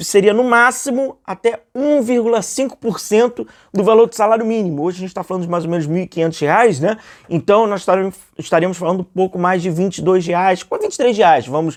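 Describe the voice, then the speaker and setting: This man speaks at a fairly quick pace with a high pitch and ordinary pitch variation. The background is quiet. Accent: Rio de Janeiro. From Rio de Janeiro, Brazil. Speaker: football YouTuber. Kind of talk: casual commentary monologue. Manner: conversational, many fillers.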